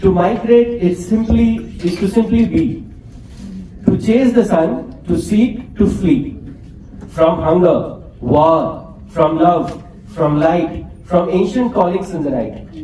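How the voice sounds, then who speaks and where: A man's high-pitched voice at a very slow pace with lively intonation, audible room echo and noticeable background noise. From India, Bihar. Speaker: poet. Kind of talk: poetry reading.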